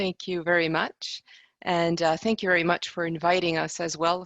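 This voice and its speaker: A woman speaks with a French accent. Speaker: conference interpreter. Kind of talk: panel presentation.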